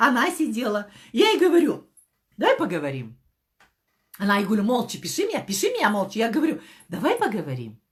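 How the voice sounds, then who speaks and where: With vocal fry and an animated tone, the speaker moves at a fairly quick pace, swinging very widely in pitch and leaving long, frequent pauses. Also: woman, fairly high pitch for a woman. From Kazakhstan. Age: 50s. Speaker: network marketing director. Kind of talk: motivational talk. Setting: live stream.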